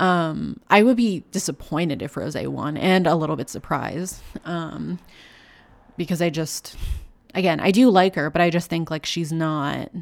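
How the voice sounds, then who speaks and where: A woman's normal speaking voice, fairly low in pitch with ordinary variation, in a Canadian accent at a moderate pace, on a very clean recording with a silent background. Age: 20s. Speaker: podcast co-host. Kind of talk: casual chat. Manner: casual, lots of filler words.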